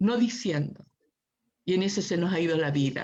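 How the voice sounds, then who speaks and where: Somewhat breathy, fairly slow speech with a Chilean accent. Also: woman. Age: 60s. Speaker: human rights activist. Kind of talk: panel discussion. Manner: impassioned.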